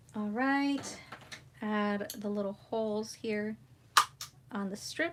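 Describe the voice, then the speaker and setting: A woman speaks very slowly at a fairly high pitch, with noticeable background noise behind her. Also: ordinary pitch variation. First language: Spanish. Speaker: crafting YouTuber. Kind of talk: live craft tutorial chat. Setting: livestream.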